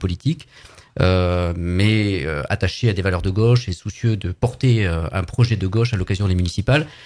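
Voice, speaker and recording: Dark and mellow in tone, the voice moves at a moderate pace with ordinary pitch variation in a very clean recording with a silent background. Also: man. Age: 60s. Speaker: political activist. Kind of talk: live radio interview. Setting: studio.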